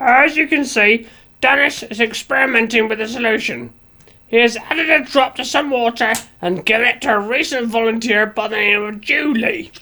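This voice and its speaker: Putting on a character voice, a woman speaks fairly high at a moderate pace. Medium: audio drama. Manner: clinical, matter-of-fact.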